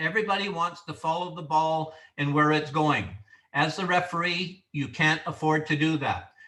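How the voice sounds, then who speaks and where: A man's fairly high-pitched voice with a bright, sharp tone, moderate pace and fairly even intonation, amid audible room echo. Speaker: referee instructor. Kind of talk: training lecture.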